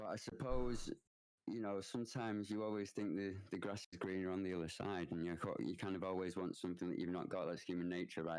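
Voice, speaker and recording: A man in a Mancunian accent, very deep and low, fairly quick and fairly even in intonation. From northern England, Manchester. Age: 30s. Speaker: Twitch streamer. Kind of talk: podcast interview. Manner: halting, many fillers and restarts.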